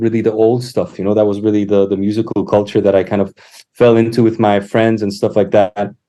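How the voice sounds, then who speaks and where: The man's dark, mellow voice keeps a fairly quick pace. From Poland, childhood partly in Canada. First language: Polish. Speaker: musician and educator. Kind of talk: podcast interview. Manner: halting, many fillers.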